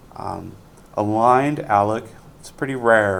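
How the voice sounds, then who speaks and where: Audible room echo surrounds a man whose fairly low voice keeps a fairly even intonation. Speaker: university lecturer. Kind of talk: lecture. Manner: fast; many fillers (um, uh).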